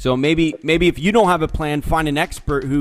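Music plays in the background as a man talks at a moderate pace in a fairly high pitch. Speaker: podcast interview host. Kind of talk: interview host talk.

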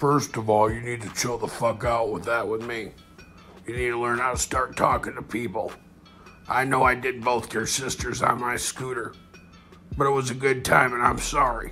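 A man in a cartoonish character voice with medium pitch, monotone, flat intonation and a moderate pace, with clear music in the background. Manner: blunt, cocky, profane.

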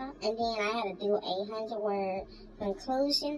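A woman is speaking. Noticeable background noise sits behind her voice. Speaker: college student vlogger. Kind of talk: casual vlog chat. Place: home room.

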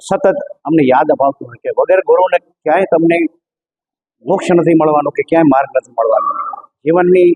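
In a dry, close recording with no echo, a man with a high pitch and ordinary pitch variation speaks with big swings in loudness. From Gujarat, Kutch village. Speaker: retired air force officer, temple devotee. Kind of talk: interview statement.

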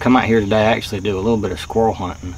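A man speaks at a fairly low pitch with a slightly mellow tone over faint background noise.

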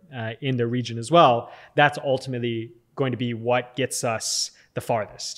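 A man with a Californian accent speaks at a fairly slow pace in a flat monotone over a quiet background. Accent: American (Californian). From Southern California, US. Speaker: tech company founder and CEO; podcast guest. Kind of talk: interview. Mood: calm, thoughtful. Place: studio. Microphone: studio mic.

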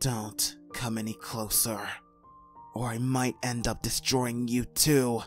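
A man's put-on character voice at medium pitch, fairly slow in pace, with clear music in the background. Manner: guarded, serious.

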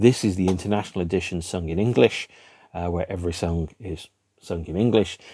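Over a quiet background, a man speaks at a fairly quick pace with a British accent. His voice is very deep and low, with a dark, mellow tone. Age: 50s. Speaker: music video blogger. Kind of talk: solo monologue to camera about a record album. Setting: home room with record shelves behind. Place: home room.

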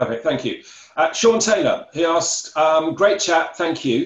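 A man speaks at a fairly high pitch, with audible room echo around his voice. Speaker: Q&A moderator. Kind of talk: reading audience questions. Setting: video call. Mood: polite, appreciative. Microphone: video call.

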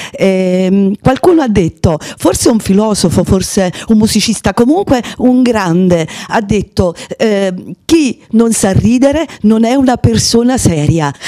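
A woman's fairly slow speech carries lively intonation. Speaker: guest. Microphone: handheld.

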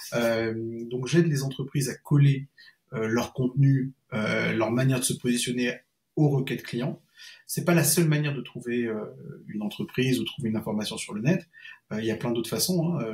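The background stays quiet. A man delivers his words at a moderate pace, his pitch varying in an ordinary way. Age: 40s. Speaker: freelance SEO consultant; guest. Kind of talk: interview. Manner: halting. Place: home room.

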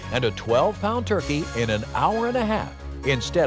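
Someone talks at an average tempo. Behind the voice, music is playing. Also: man. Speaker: announcer. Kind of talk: infomercial voice-over narration.

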